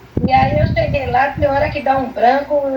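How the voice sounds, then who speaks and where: A woman speaks at a high pitch. There is noticeable background noise. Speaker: therapy patient, church member. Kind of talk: testimony.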